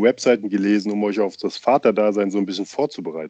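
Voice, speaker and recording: A man talks at a fairly quick pace with fairly even intonation and a dark, mellow tone. The sound is dry and close, without echo. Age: young. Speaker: podcast co-host, father. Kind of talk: casual chat.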